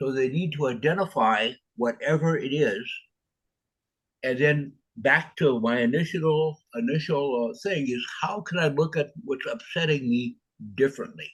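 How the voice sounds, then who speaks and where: Lively intonation in a man's somewhat breathy, fairly high voice, moderately paced. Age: 70s. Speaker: author. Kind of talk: interview. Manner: halting.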